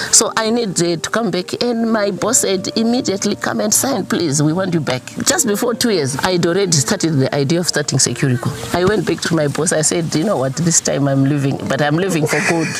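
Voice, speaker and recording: A woman speaks at a fairly quick pace with hardly any pauses, her fairly low pitch swinging very widely. Her loudness stays very even over noticeable background noise. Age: 60s. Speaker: farmer and entrepreneur. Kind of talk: interview.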